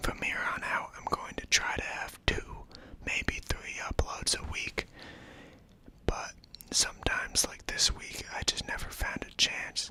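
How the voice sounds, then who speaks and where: A man whispers with big swings in loudness while noticeable background noise runs behind him. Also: fairly slow pace. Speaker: ASMR and film-talk YouTuber. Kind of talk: casual talk to camera about films. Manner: whispered, soft-spoken.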